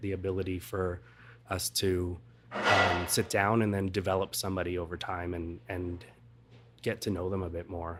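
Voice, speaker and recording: A soft-spoken man talks in a very deep, low pitch with monotone, flat intonation. Music plays in the background. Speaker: hospitality professional. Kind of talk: interview answer.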